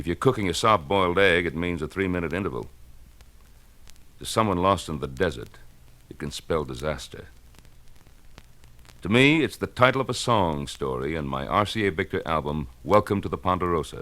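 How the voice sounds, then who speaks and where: The speech moves at a fairly quick pace with vocal fry, a bright, sharp tone, big swings in loudness and long, frequent pauses. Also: man, very deep, low pitch for a man, lively intonation. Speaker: actor and singer. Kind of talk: radio promo spot.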